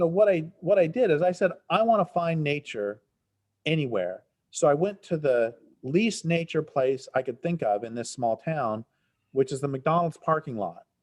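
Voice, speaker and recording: With a plain, everyday voice, a man speaks at a fairly high pitch and a moderate pace, his intonation lively against a quiet background. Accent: General American. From Colorado, Front Range. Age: 60s. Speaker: environmental writer. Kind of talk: interview.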